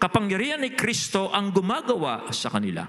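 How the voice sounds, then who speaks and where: A man projects a raised, high-pitched voice with lively intonation. Audible room echo follows his words. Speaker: pastor. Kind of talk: sermon. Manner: changes voice when preaching.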